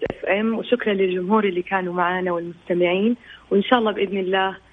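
A mid-pitched female voice set against noticeable background noise. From Saudi Arabia. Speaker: singer. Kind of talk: radio interview.

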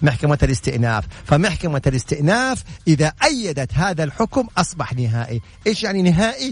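A man with a fairly high pitch and very wide pitch swings, speaking at a moderate pace. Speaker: lawyer and legal consultant. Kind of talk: legal Q&A broadcast. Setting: home.

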